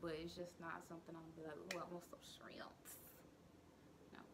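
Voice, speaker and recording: Light background noise runs under speech delivered at a moderate pace. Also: woman. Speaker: vlogger. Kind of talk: casual vlog chat. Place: kitchen. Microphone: phone near.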